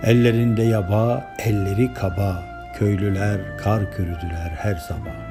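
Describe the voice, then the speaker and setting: There is music in the background as a man speaks at a very slow pace. His pitch is fairly low, with ordinary variation. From Denizli, Turkey. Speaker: poet. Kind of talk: poetry reading.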